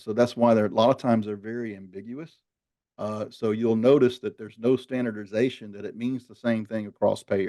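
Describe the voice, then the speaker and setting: A man at medium pitch speaks at a fairly quick pace with a dark, mellow tone, fairly even intonation and big swings in loudness. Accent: Southern US. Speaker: marketing executive hosting a webinar. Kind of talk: webinar discussion.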